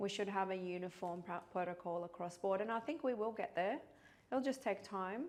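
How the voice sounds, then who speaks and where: This woman has a medium pitch. She speaks with a Middle Eastern accent. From Iraq. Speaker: pharmacist. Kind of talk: interview.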